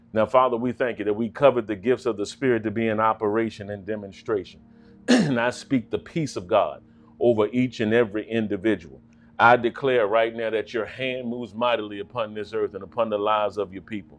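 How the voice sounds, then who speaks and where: With faint music in the background, the speech moves at a fairly quick pace with fairly even intonation. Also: man. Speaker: pastor. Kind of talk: prayer then sermon opening. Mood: fervent, prayerful. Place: studio.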